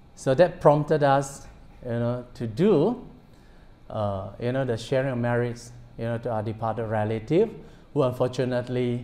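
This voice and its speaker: A man's dark, mellow tone at a moderate pace, with long, frequent pauses. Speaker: Buddhist monk. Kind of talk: dharma talk. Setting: temple with audience. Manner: bilingual code-switching. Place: hall.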